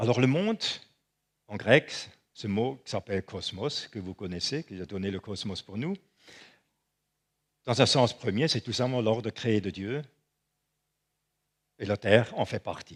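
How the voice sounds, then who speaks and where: On a very clean recording with a silent background, the speaker talks fairly slowly with a non-native accent and ordinary pitch variation. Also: man. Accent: non-native French, makes mistakes. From Switzerland. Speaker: preacher. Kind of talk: sermon.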